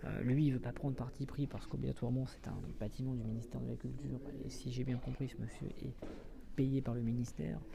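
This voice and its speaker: There is audible room echo in this clip. A man talks at a very fast pace. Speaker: livestream reporter. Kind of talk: live on-the-scene commentary. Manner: hesitant, many fillers.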